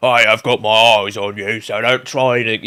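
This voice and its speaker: A man puts on a character voice in a British accent. He speaks at medium pitch and a moderate pace. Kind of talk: gruff, officious.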